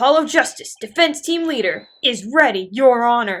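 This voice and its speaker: A woman puts on a character voice pitched high. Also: moderate pace. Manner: chipper.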